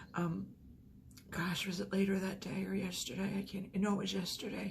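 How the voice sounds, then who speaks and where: A woman at a moderate pace, with audible room echo. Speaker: vlogger. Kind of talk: personal vlog.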